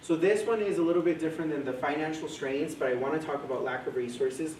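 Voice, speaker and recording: A man speaks in a fairly high pitch with ordinary pitch variation, with audible room echo and noticeable background noise. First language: Spanish. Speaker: mental health coordinator. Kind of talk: presentation to a live audience.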